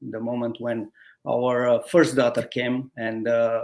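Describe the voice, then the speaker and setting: A man speaks in a Romanian accent at a fairly slow pace. His intonation is fairly even, and the recording is very clean with a silent background. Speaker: guest, former automotive team lead. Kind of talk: interview, telling life story. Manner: halting, many hesitations.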